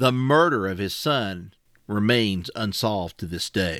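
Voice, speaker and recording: A man with an Appalachian accent, bright, sharp tone and lively intonation, on a very clean recording with a silent background. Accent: Appalachian Southern US. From Wise County, Virginia (Appalachia). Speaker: podcast co-host. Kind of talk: casual chat about a story.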